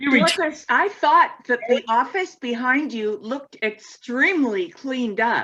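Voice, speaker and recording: With a raised, projected voice, a woman speaks fairly slowly at a high pitch, her intonation lively and her tone bright and sharp. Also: hardly any pauses. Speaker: class reunion member. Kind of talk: casual chat. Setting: video call. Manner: animated.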